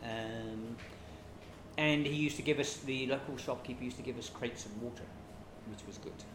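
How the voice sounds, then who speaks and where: A man with a British accent at medium pitch, very fast pace yet long, frequent pauses, fairly even intonation, audible room echo and noticeable background noise. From Britain. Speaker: refugee aid worker. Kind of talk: interview. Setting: kitchen.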